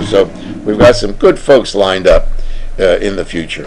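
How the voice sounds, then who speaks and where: A man at a fairly quick pace, ordinary pitch variation, noticeable background noise. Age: 80s+. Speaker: radio host. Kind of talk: talk show monologue. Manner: folksy.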